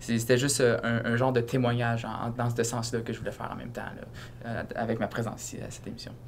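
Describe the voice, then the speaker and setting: Audible room echo surrounds the voice of a man as he talks. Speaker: university student. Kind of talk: casual interview. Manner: halting, many fillers.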